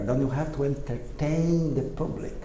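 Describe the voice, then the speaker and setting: A man with a non-native accent speaks at a fairly high pitch and moderate pace, with audible room echo and noticeable background noise. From Brazil. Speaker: electrical engineer and speaker. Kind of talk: presentation to audience. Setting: stage with audience at exposition. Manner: halting.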